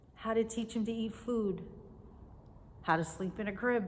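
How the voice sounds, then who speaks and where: A woman with a fairly high pitch and ordinary pitch variation is heard with audible room echo. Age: 60s. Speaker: teacher and video blogger. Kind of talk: casual devotional talk to camera. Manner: conversational.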